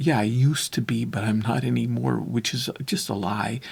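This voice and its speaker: His pitch sits in the middle range for a man. There is some breathiness to his voice. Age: 60s. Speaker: recovery and relationship talk host. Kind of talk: reflective monologue. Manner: halting.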